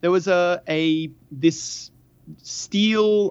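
Background noise is clearly heard here. Over it, a man talks in a high pitch. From Australia. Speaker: podcaster and dungeon master. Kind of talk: casual chat. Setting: phone call.

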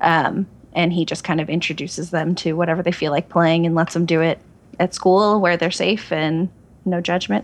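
In a normal speaking voice with an American accent, the speaker keeps a moderate pace and fairly even intonation. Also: woman, fairly low pitch for a woman. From Oregon, US. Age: 30s. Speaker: online gaming community cofounder. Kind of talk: casual chat. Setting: phone call.

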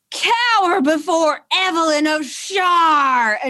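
A put-on character voice, shrill and robotic, speaks at a very slow pace with extremely high pitch. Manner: shrieking.

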